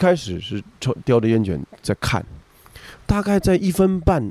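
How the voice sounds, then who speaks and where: Very wide pitch swings in a man's dark, mellow voice. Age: 40s. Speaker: rakugo storyteller. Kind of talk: casual chat. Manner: animated; halting.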